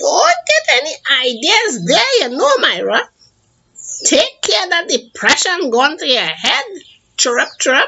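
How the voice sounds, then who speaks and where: In a put-on character voice, a woman speaks at an extremely high pitch with very wide pitch swings and long, frequent pauses. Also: fairly slow pace. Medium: read story. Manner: chirping "chirrup".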